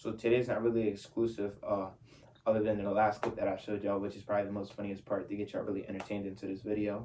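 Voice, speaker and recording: A man talks at a very fast pace in an animated tone. His pitch is fairly low. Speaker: youtuber. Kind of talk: casual vlog Q&A. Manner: stutters slightly; animated slangy.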